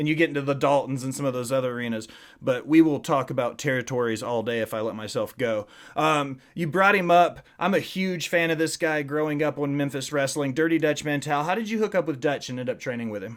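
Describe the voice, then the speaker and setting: Very fast speech in a Tennessee accent with ordinary pitch variation, on a very clean recording with a silent background. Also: man, fairly high pitch for a man. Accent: Southern US (Tennessee). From Nashville, Middle Tennessee. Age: 30s. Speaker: podcast host. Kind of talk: casual chat.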